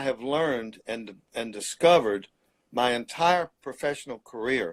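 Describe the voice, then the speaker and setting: A man with a Mississippi accent speaks with ordinary pitch variation. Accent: Southern US, Mississippi. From US South, Mississippi Delta. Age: 70s. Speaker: painter. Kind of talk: interview.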